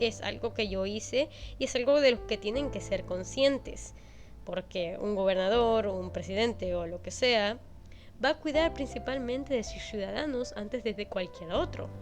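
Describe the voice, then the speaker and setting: Music playing behind a woman at a moderate pace. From Venezuela. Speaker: YouTuber. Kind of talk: personal story narration (draw my life).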